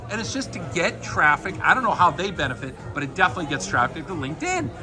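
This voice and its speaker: Music plays in the background as a man speaks very fast in an American accent. His pitch swings very widely. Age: 60s. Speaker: interviewer, journalist. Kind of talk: casual interview chat.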